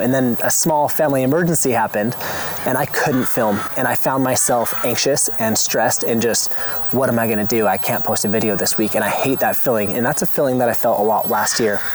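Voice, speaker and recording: Speaking fairly quickly at a medium pitch, a man keeps his loudness very even and his pitch variation ordinary, with noticeable background noise behind him. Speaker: homesteading YouTuber. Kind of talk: personal vlog monologue. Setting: outdoors in garden. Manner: fast; passionate, animated.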